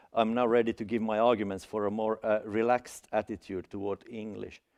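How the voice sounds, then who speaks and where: A man with a Finland Swedish accent speaks at a moderate pace and medium pitch with fairly even intonation, the sound dry and close with no echo over a quiet background. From Finland (Swedish-speaking, Helsinki). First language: Swedish (Finland Swedish). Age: 40s. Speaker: academic speaker. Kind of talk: seminar talk. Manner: halting, many fillers and restarts.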